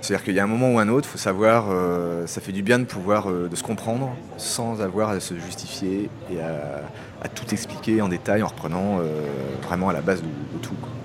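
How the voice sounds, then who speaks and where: The pace of speech is fairly quick. Music plays in the background. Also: man, fairly low pitch for a man, ordinary pitch variation. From France. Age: 30s. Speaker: expatriate teacher and aid worker. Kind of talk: interview testimony.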